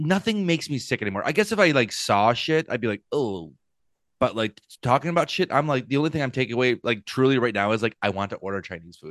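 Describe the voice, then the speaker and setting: A man speaks very fast in a playful tone at a medium pitch. His pitch swings very widely, and the background is quiet. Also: dry, close sound with no echo. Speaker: comedian. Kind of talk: casual chat. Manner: joking, playful.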